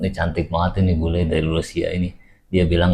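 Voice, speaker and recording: A man talks at a very fast pace. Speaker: reaction video host. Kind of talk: casual commentary on reaction clips. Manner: casual, hesitant with fillers.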